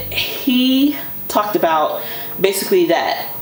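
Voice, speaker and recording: Over noticeable background noise and audible room echo, a woman talks at a fairly slow pace with very wide pitch swings. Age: 40s. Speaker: fashion YouTuber. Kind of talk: casual chat. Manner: animated.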